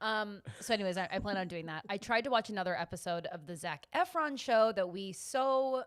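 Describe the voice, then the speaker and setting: A woman's medium-pitched voice with lively intonation, on a very clean recording against a silent background. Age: 30s. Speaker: podcast co-host. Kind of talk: casual chat. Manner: halting.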